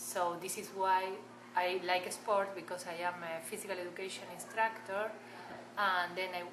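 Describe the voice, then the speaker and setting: Over noticeable background noise and audible room echo, a woman speaks at medium pitch and a moderate pace with fairly even intonation. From Argentina. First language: Spanish. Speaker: massage therapist. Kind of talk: interview.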